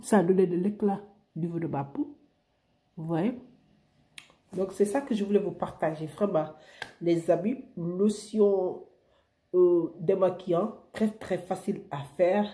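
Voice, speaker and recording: Somewhat breathy and dark, mellow in tone, a woman of medium pitch speaks very slowly with long, frequent pauses and ordinary pitch variation. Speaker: beauty vlogger. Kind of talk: beauty tutorial. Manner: animated.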